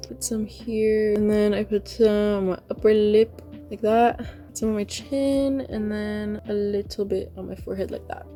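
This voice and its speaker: Music plays in the background as a woman speaks. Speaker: beauty vlogger. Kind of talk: tutorial. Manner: casual.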